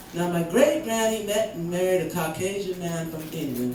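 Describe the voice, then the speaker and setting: A woman speaks at a fairly slow pace and fairly low pitch, animated in tone with lively intonation, amid audible room echo and noticeable background noise. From Canada, Vancouver area. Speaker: spoken word poet. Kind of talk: spoken word performance. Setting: stage with audience.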